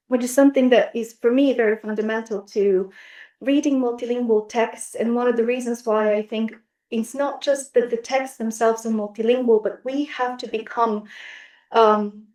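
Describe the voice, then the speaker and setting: With a Bulgarian accent, a woman speaks at a moderate pace in a fairly high, monotone voice with flat intonation. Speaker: literature scholar. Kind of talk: academic roundtable discussion. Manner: hesitant, with many fillers.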